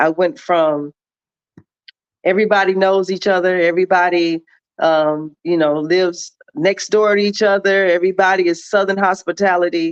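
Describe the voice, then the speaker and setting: In a plain, everyday voice, a woman speaks at medium pitch and a moderate pace with fairly even intonation, the sound dry and close with no echo. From Milwaukee, Wisconsin (born in Jonesboro, Arkansas). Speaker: show guest. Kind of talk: casual chat.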